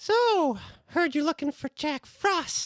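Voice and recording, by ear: This is a put-on character voice with a high pitch. It sounds squeaky.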